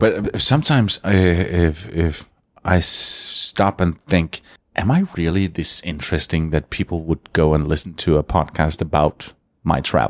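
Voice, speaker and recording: A Danish accent at a fairly slow pace. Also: man, very deep, low pitch for a man, ordinary pitch variation, very even loudness, dry, close sound with no echo. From Denmark. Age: 50s. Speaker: radio consultant. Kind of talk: interview. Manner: halting.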